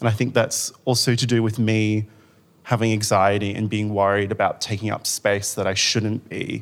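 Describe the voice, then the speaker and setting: In a very clean recording with a silent background, a man with an Australian accent speaks at a moderate pace, his fairly low voice flat and monotone. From Western Australia (Rockingham). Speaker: arts manager and writer. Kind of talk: panel discussion. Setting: stage with audience.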